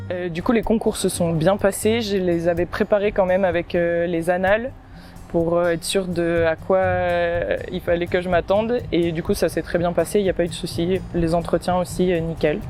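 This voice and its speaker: A woman at a moderate pace, fairly low in pitch with fairly even intonation, music in the background. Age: 20s. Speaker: agricultural engineering apprentice student. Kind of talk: testimonial interview. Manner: hesitant, many fillers.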